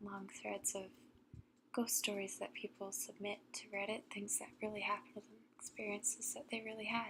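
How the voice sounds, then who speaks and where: A soft-spoken woman talks at medium pitch. Her pace is moderate and her pitch variation ordinary. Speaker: ASMR storyteller. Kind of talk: casual talk to camera.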